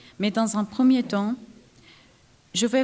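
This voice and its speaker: A woman's fairly high, somewhat breathy voice carries a monotone, flat intonation. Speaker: researcher, conference speaker. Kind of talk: conference talk.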